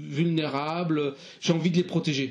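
A very slow delivery with ordinary pitch variation. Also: man. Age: 60s. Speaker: retired primary school teacher. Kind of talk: interview.

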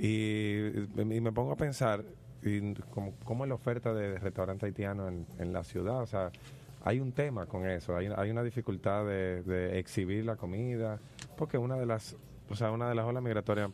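A man with a fairly low pitch talks at a moderate pace in an ordinary speaking voice, his pitch varying in an ordinary way. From Dominican Republic. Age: 30s. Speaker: radio host. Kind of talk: radio talk show.

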